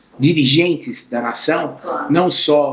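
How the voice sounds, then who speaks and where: A very slow pace with fairly even intonation. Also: man. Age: 60s. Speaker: entrepreneur, chocolate factory owner. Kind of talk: interview.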